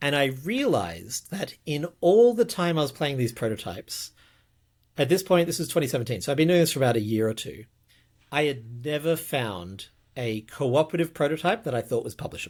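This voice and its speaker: In a very clean recording with a silent background, a man with a fairly high pitch talks fairly quickly, his pitch swinging very widely. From Australia. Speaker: podcast host, game designer. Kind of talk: casual podcast chat. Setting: video podcast recording.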